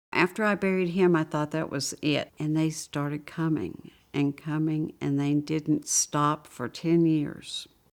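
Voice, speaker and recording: A woman with a Southern US accent speaks fairly slowly, barely pausing, in a very deep, low voice with fairly even intonation. The recording is very clean with a silent background. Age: 60s. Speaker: AIDS caregiver. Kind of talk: interview testimony.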